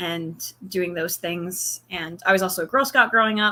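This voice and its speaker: With a slight Southern US accent, a woman talks at a moderate pace and medium pitch in a bright, sharp tone. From North Carolina, US South (Cary area). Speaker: college student, reality game contestant. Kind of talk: interview.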